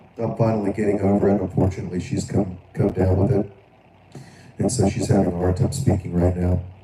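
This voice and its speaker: Someone with an American accent talks at a very fast pace with fairly even intonation over noticeable background noise. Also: man, fairly low pitch for a man. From Florida. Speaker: live stream political commentator. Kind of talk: live stream commentary. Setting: live stream. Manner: halting, repetitive.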